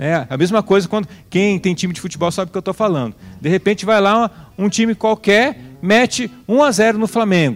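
A man speaks at a fairly quick pace with lively intonation and a high pitch. The sound is dry and close, with no echo. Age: 40s. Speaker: preacher and founder of a religious community. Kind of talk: sermon. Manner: animated.

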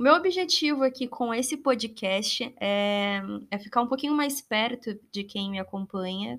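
A woman speaks in a plain, everyday voice. Her pitch sits fairly high and her pace is fairly slow. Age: 20s. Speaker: content creator, YouTuber. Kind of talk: casual solo monologue.

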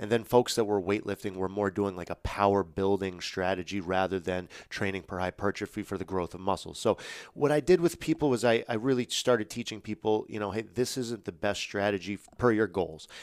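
Fairly low in pitch, a man with a normal speaking voice moves at a fairly quick pace with ordinary pitch variation. The recording is very clean, with a silent background. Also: hardly any pauses. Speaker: personal trainer. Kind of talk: casual interview. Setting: podcast studio.

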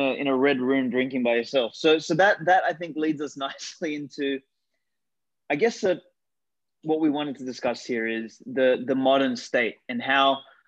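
This man speaks with an Australian accent at a moderate pace. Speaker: podcast host. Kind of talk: podcast interview.

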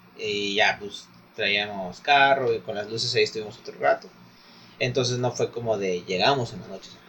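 A man's medium-pitched voice with a Mexican accent at a moderate pace, fairly even intonation and big swings in loudness, over noticeable background noise. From Mexico. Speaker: podcast co-host. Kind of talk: casual chat.

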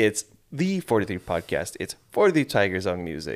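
Fairly low in pitch, a man speaks at a fairly slow pace with an American accent and lively intonation. It is an unremarkable speaking voice. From Malaysia and Sweden, American school. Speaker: podcast co-host. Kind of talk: casual chat.

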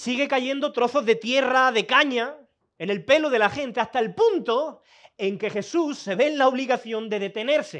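A man talks at a moderate pace in an extremely high pitch, with lively intonation and an animated tone. The background is quiet. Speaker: preacher. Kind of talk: sermon. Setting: church with a congregation, also streamed online. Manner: animated, conversational, direct appeals to the congregation; informal and lively, mixes colloquial asides into Bible teaching.

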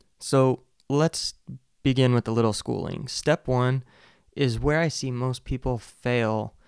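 A man with a medium-pitched, ordinary speaking voice, talking at a fairly slow pace in a very clean recording with a silent background. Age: 30s. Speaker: podcast host. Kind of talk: solo monologue on personal finance. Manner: casual, with fillers and restarts.

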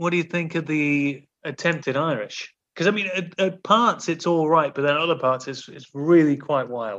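A man with a normal speaking voice talks at a moderate pace, his pitch fairly high and its variation ordinary, over a quiet background. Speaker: podcast host. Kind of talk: casual banter, comedy film game. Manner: joking, playful.

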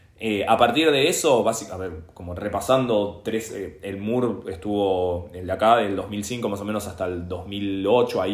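With audible room echo, a man talks at a fairly slow pace in a fairly low pitch with ordinary pitch variation. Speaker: history teacher and punk guitarist. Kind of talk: casual interview conversation.

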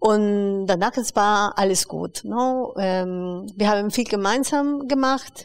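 A woman at medium pitch with a Spanish accent, very slow and with hardly any pauses, ordinary pitch variation, on a very clean recording with a silent background. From Peru, Lima. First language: Spanish (speaking German). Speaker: educator and migrant rights activist. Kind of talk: interview. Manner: hesitant, many fillers.

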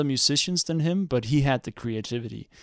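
Fairly quick male speech in a Danish accent with ordinary pitch variation, dry and close with no echo, on a very clean recording with a silent background. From Denmark. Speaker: astrophysicist. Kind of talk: casual chat. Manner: halting.

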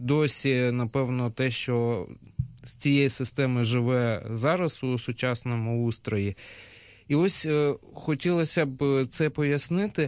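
A man's medium-pitched voice at a very slow pace, with ordinary pitch variation and a quiet background. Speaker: radio host. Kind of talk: radio discussion.

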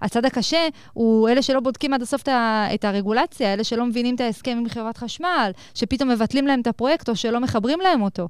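The recording is very clean with a silent background. A woman speaks at a high pitch and a fairly quick pace with ordinary pitch variation. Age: 20s. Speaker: entrepreneur and company CEO. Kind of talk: interview. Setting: studio at a college.

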